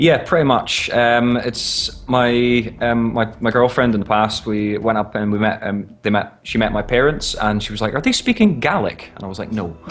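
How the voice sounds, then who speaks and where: A man at a medium pitch with ordinary pitch variation, moderate in pace with hardly any pauses, over noticeable background noise. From northern Scotland. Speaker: amateur esports caster. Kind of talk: interview.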